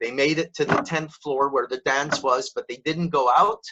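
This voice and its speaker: With a bright, sharp tone, a man speaks at a fairly high pitch and ordinary pitch variation. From Montreal, Quebec, Canada. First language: French. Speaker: professional speaker and storytelling trainer. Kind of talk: interview storytelling.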